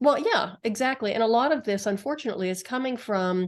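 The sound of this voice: The woman talks at a fast pace with a fairly high pitch. Her intonation is lively.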